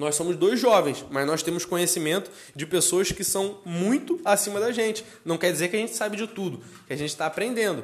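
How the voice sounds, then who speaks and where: A man with a high-pitched voice and ordinary pitch variation. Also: fairly quick pace. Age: 20s. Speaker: podcast co-host, entrepreneur. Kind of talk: casual chat.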